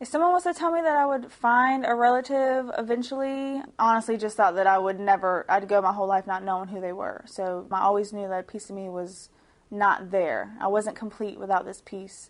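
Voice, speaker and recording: A woman with a Southern US accent speaks at a medium pitch and a fairly quick pace, with hardly any pauses, big swings in loudness and lively intonation, against a quiet background. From US South, Georgia. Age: 20s. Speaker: stay-at-home mother. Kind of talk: testimonial interview. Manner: casual, hesitant with fillers.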